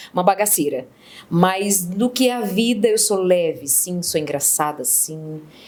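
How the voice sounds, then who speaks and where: Here is a woman with a medium pitch. Hers is an unremarkable speaking voice. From Ceará, Brazil. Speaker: interview guest, humorist. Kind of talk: casual interview.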